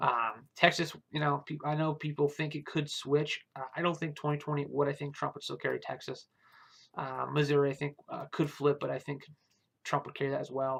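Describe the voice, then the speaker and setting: Speaking at a fairly quick pace, a man with a fairly high pitch keeps a monotone, flat intonation. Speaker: political commentary youtuber. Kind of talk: casual video commentary. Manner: fast; hesitant with many fillers.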